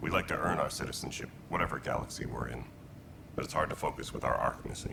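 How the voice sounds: A man's put-on character voice, extremely low in pitch with vocal fry, ordinary pitch variation, a fast pace and clear background noise.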